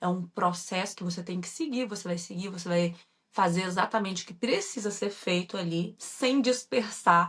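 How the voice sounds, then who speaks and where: A woman's medium-pitched, somewhat breathy voice with a strong Minas Gerais accent, ordinary pitch variation and a moderate pace. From Brazil, Minas Gerais. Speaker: entrepreneur, former mechanical engineer, online course creator. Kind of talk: podcast interview.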